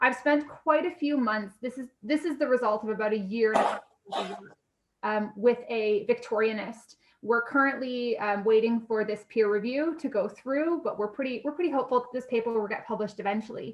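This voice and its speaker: In an unremarkable speaking voice with a Canadian accent, a woman talks fairly quickly at a fairly high pitch with ordinary pitch variation. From Canada. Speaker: university lecturer. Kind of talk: lecture. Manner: casual, frequent fillers.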